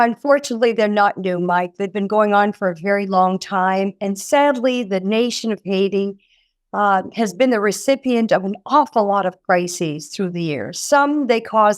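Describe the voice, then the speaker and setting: A woman talks at medium pitch and a moderate pace, her pitch varying in an ordinary way. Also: very clean recording, silent background. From French Canada. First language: French. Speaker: nonprofit executive director. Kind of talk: interview.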